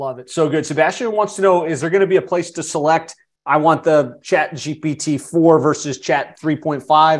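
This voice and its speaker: Against a quiet background, a man with a fairly high pitch and a plain, everyday voice talks with hardly any pauses and ordinary pitch variation. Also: moderate pace. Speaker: podcast host. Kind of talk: casual webinar interview. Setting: live online session.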